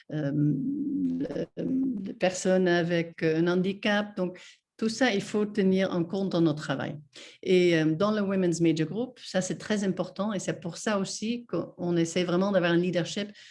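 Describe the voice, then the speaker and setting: A woman with a non-native accent, a fairly slow pace and ordinary pitch variation, over a quiet background. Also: medium pitch for a woman. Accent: foreign accent in French. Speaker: NGO representative, guest speaker. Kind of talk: webinar presentation. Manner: halting, many hesitations.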